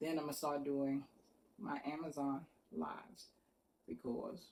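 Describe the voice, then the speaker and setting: Vocal fry in a dark, mellow tone. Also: woman. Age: 60s. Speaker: vlogger. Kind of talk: casual personal talk to camera.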